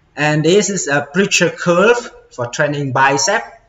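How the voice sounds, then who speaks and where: With audible room echo, a man talks using ordinary pitch variation. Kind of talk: casual tour narration. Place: gym. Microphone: phone near.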